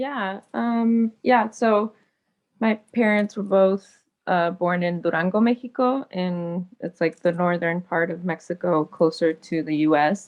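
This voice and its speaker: Speaking at a fairly slow pace, a woman with a Californian accent uses a medium-pitched voice. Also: ordinary pitch variation. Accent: Californian American English. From Los Angeles, US. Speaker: small-scale farmer and justice activist. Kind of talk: panel discussion.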